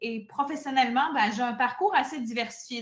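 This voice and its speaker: A woman speaks in a Quebec accent. Her pace is moderate and her pitch variation ordinary. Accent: Québécois French. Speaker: burnout prevention coach and therapist. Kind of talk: podcast interview.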